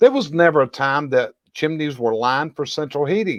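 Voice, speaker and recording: The speaker has a Southern US accent and lively intonation at a moderate pace. The sound is dry and close, with no echo. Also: man. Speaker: chimney industry expert and show host. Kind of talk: educational video discussion.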